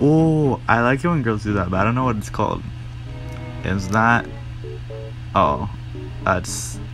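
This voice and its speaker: Over music in the background, a man with a fairly low pitch talks at a fairly slow pace in a playful tone. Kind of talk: casual commentary voiceover. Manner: casual, playful.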